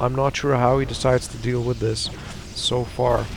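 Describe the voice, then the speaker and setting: A man at a medium pitch over noticeable background noise. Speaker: esports caster. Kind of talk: live commentary. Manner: stuttering at times.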